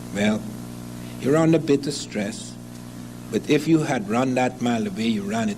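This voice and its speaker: A man is speaking. Room echo is audible, and background noise is noticeable. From Africa. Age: 60s. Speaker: professor. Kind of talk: lecture.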